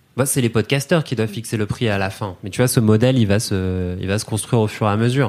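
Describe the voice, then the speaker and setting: With hardly a pause, a man talks very fast at a fairly low pitch, his pitch rising and falling in an ordinary way over a silent background on a very clean recording. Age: 30s. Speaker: podcast company content director. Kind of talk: casual chat.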